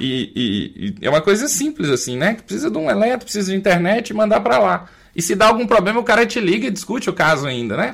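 Speaking very fast with hardly any pauses, a man uses a high pitch and very wide pitch swings in a Minas Gerais accent. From Minas Gerais, Brazil. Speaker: family doctor and podcast co-host. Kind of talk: panel discussion.

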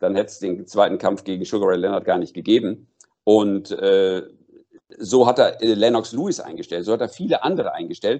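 Moderate-paced male speech full of big swings in loudness. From North Rhine-Westphalia, Germany. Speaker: boxing manager and former sports commentator. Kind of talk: interview. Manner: hesitant with fillers.

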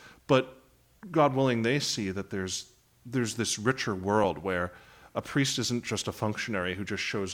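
In a very clean recording with a silent background, a man with a plain, everyday voice talks at a moderate pace and a fairly low pitch, with ordinary pitch variation. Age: 30s. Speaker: priest and high school teacher. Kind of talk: radio interview. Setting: studio.

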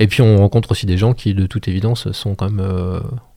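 Very fast and somewhat breathy, a man speaks at a fairly low pitch in a dark, mellow tone with fairly even intonation. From France, Maine-et-Loire (Montreuil-Bellay area). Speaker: musician and cultural programme manager. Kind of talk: radio interview. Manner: halting.

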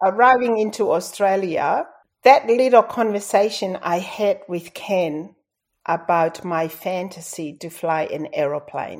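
Speaking at a fairly slow pace with a Tongan accent, a woman uses a medium pitch and ordinary pitch variation while her loudness swings widely. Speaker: airline pilot and author. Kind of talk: interview.

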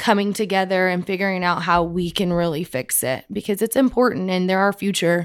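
With a West Texas accent, a woman talks at a fairly quick pace in an animated tone, her medium-pitched voice showing ordinary pitch variation and hardly any pauses, on a very clean recording with a silent background. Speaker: oilfield sales account manager. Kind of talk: interview.

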